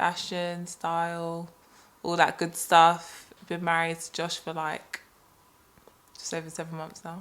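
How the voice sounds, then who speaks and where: A woman with a fairly low pitch speaks in a London accent. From London, England. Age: 30s. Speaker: podcast co-host. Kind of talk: casual chat.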